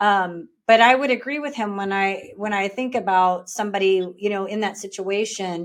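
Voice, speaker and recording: In an American accent, a woman uses an ordinary speaking voice at a medium pitch and moderate pace. She has ordinary pitch variation and hardly any pauses. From Texas panhandle. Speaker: podcast host. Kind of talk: interview.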